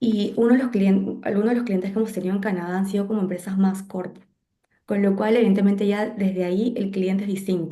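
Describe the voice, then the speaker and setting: Very fast, somewhat breathy speech from a woman at medium pitch, dark and mellow, monotone and flat, with audible room echo. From Peru. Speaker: graphic designer. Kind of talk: interview conversation.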